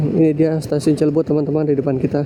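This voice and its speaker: Speaking at a very fast pace, a man has a fairly high pitch. Noticeable background noise runs underneath. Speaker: motovlogger. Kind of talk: motovlog narration while riding. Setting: riding a motorbike, outdoors. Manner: casual, chatty.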